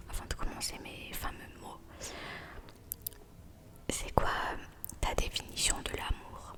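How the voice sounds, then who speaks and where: Whispering at a fairly slow pace, a woman takes a playful tone over noticeable background noise. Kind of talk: ASMR roleplay, soft intimate talk to the listener. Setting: home-recorded ASMR with snacks and props. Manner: soft, friendly, playful.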